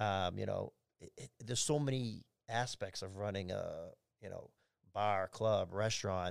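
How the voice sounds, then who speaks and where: Background silence surrounds this very clean recording. Pitch moves up and down in a normal way. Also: man. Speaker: nightclub general manager. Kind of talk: casual chat. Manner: loud.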